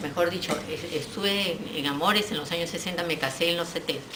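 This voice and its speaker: Against noticeable background noise and audible room echo, a woman speaks with fairly low pitch. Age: 70s. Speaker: audience member asking question. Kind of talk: audience question. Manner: halting.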